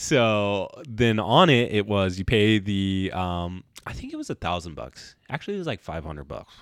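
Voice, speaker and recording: A man with a normal speaking voice talks at a moderate pace. His pitch is fairly low and his intonation lively. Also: hardly any pauses. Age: 30s. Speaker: podcast co-host. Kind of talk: casual chat.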